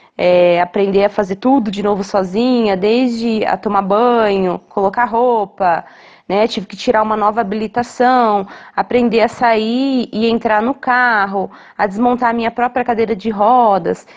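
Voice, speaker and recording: A woman has an ordinary speaking voice, fairly high, with fairly even intonation. She goes at a fairly slow pace against a quiet background. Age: 30s. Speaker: wheelchair user sharing experience. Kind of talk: recorded testimony.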